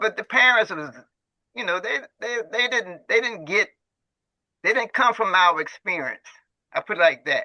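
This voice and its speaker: Moderate pace, long and frequent pauses, ordinary pitch variation. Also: man, high pitch for a man. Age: 80s+. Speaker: community elder, former prison worker. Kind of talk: casual group discussion. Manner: halting with many repetitions.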